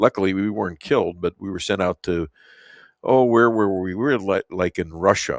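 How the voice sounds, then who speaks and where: A man with a Chicago accent at a moderate pace, ordinary pitch variation, a dry, close sound with no echo, and a very clean recording with a silent background. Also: fairly low pitch for a man. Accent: Chicago American. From Chicago, US Midwest. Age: 70s. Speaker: talk radio host. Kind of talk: radio interview. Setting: studio. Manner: halting.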